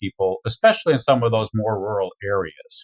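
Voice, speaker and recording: A man speaks at a moderate pace with a medium pitch and ordinary pitch variation. His voice is somewhat breathy. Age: 60s. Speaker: veterinarian. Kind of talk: interview. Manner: halting.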